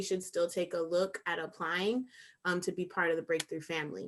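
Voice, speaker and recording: A woman's ordinary speaking voice at medium pitch, with ordinary pitch variation, on a very clean recording with a silent background. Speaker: nonprofit education program staff. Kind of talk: informational presentation.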